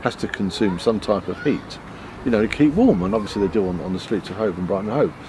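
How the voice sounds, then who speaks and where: Noticeable background noise runs under this recording. A man speaks at a very fast pace. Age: 60s. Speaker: trade union representative. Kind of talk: interview. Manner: halting.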